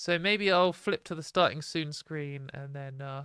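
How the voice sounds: A woman's low-pitched voice, clear, smooth and fairly bright, with ordinary pitch variation and a dry, close sound with no echo.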